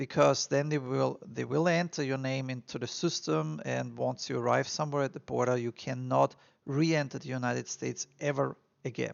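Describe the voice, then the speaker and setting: In an Austrian accent, a man speaks at a moderate pace. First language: German. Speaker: immigration advice vlogger. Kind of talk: casual advice monologue. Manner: halting, many fillers.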